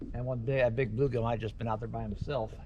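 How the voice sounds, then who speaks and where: There is audible echo from the room. Through it, a man's voice comes across. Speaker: fishing vlogger. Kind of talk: casual solo vlog narration.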